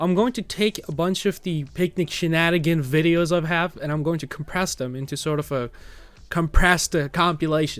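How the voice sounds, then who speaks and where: With an American accent, a man talks at a fairly quick pace in a fairly high voice. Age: 20s. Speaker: vlogger, warehouse worker. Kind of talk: personal vlog rant. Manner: halting, many fillers.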